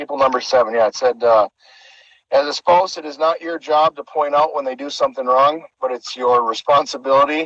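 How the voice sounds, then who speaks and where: In a normal speaking voice, a man with a fairly high pitch talks at a fairly quick pace, his intonation fairly even but his loudness swinging widely. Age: 40s. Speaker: car club livestream host. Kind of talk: casual livestream chat.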